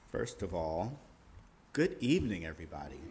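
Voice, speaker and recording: A man's voice at a fairly slow pace, with audible room echo. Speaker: nonprofit executive director. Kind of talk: presentation to audience. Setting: hall with audience. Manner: loud.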